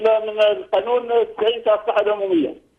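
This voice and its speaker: This man's pitch sits high. He talks with an Algerian accent. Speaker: caller. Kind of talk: phone-in comment.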